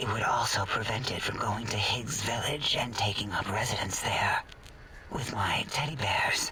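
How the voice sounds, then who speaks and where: A man whispers in a put-on character voice. He keeps a moderate pace. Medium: machinima. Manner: odd, dreamy.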